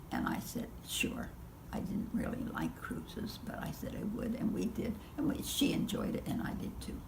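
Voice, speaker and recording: A woman whispers at a moderate pace. Noticeable background noise can be heard behind her. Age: 80s+. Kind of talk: interview answer.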